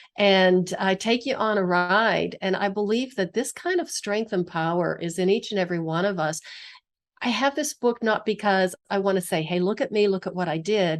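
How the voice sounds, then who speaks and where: In a plain, everyday voice, a woman with an American accent talks at a moderate pace, her pitch medium with ordinary variation. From US, western Pennsylvania. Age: 60s. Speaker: physical therapist and author. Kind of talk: interview conversation.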